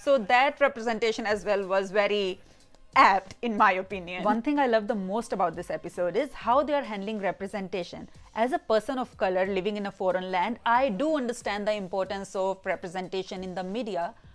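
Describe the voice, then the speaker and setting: Music plays in the background as a woman speaks. Her medium-pitched voice has an animated tone. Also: ordinary pitch variation. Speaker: YouTube film reviewer. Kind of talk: casual video review. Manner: animated, mixes Hindi and English.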